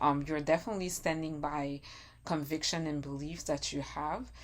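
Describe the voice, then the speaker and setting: At a moderate pace, a woman with a non-native accent speaks in a very deep, low voice. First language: not English. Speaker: tarot reader. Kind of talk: tarot reading monologue. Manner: halting.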